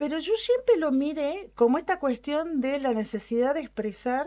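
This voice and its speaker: A high-pitched woman's voice with very wide pitch swings and a dark, mellow tone, at a fairly slow pace, on a very clean recording with a silent background. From Argentina, Córdoba. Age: 60s. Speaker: radio program participant. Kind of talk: radio conversation.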